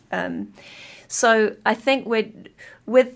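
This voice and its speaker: This woman's fairly high voice carries a creaky vocal fry. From Yorkshire, England. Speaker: event producer and arts producer. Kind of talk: radio interview. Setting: radio studio.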